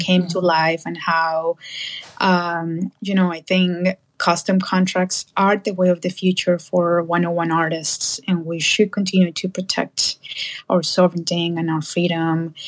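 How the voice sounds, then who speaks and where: This woman has a Spanish accent and a fairly low pitch, and her intonation is monotone and flat. She speaks at a fairly slow pace, and the sound is dry and close with no echo. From Colombia. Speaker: abstract artist. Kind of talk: casual interview. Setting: live audio chat room.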